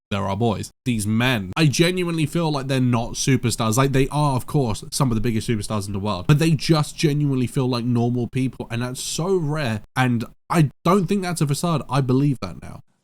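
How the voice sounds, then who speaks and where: In a very clean recording with a silent background, a man with a British accent talks at a fairly quick pace in a medium pitch, with an animated tone, lively intonation and hardly any pauses. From Britain. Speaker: reaction video creator. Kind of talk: casual reaction commentary.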